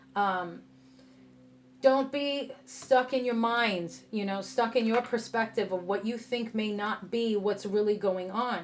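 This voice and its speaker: A woman with a New York accent, medium pitch, ordinary pitch variation, and a fairly slow pace. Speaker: tarot reader. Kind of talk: tarot reading to camera. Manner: passionate, sometimes harsh tone; casual, conversational.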